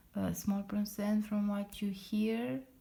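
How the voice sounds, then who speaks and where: A woman with a non-native accent speaks at a very slow pace, somewhat breathy, with a dark, mellow tone at a medium pitch. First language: not English. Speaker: lettering artist. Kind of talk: casual tutorial talk to camera. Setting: at home late at night. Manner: halting with many fillers.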